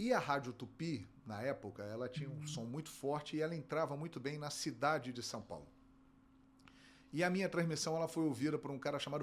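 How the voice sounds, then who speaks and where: A fairly high male voice with a Carioca accent, at a fairly quick pace with ordinary pitch variation. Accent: carioca Brazilian Portuguese. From Rio de Janeiro, Brazil. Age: 50s. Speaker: sports broadcaster and play-by-play narrator. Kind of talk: interview.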